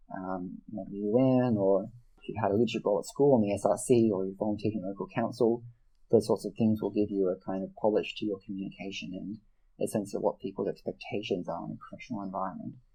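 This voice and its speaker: A man's mumbling at a very fast pace in an Australian accent, dark and mellow in tone, with monotone, flat intonation. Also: fairly low pitch for a man. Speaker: mentoring program manager and debating coach. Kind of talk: interview. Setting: podcast. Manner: slight mumble.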